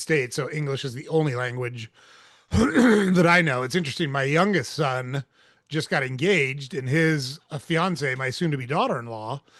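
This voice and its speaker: A man with a General American accent speaks in a normal speaking voice, pitched fairly high, at a moderate pace with ordinary pitch variation. The background is quiet. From Portland, Oregon, US. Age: 50s. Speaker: podcast host. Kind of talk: casual chat.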